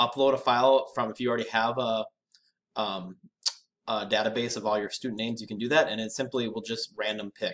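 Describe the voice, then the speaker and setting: On a very clean recording with a silent background, a man in a plain, everyday voice speaks at medium pitch and a fairly quick pace with ordinary pitch variation. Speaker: educational technology presenter. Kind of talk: tutorial. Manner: casual, conversational.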